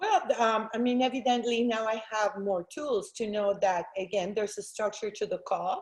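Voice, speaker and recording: With hardly any pauses, a woman speaks at a fairly high pitch. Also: ordinary pitch variation. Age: 50s. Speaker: real estate agent. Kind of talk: interview. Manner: loud; fast.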